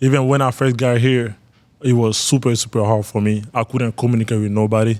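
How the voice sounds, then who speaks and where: A man's medium-pitched voice with a Malian accent, fairly quick in pace, with monotone, flat intonation and very even loudness. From northern Ivory Coast. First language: Bambara. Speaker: college basketball player. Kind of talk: interview.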